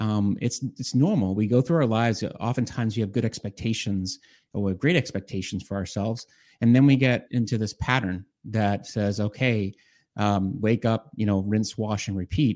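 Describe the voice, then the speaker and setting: A plain, everyday voice from a man, at a moderate pace with ordinary pitch variation, on a very clean recording with a silent background. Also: fairly low pitch for a man. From Boston, Massachusetts. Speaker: executive coach. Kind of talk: interview.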